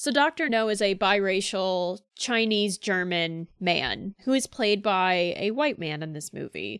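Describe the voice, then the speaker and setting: A plain, everyday voice from a woman with an American accent, medium pitch, lively intonation and hardly any pauses, in a very clean recording with a silent background and a dry, close sound with no echo. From Central Florida, US. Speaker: podcast co-host. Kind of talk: casual chat.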